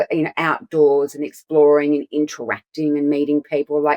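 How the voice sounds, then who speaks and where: In an Australian accent, a woman speaks with a very deep, low pitch, and the sound is dry and close with no echo. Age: 50s. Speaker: clinical nutritionist. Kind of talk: casual chat. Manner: fast, halting with many restarts.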